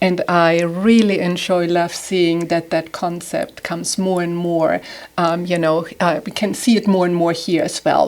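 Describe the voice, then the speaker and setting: The speaker is a woman with a German accent. Her pitch is medium and her pace moderate. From southern Germany. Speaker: home stager and designer. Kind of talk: podcast interview.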